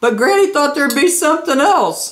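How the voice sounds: A woman speaks at a high pitch with lively intonation. Room echo is audible.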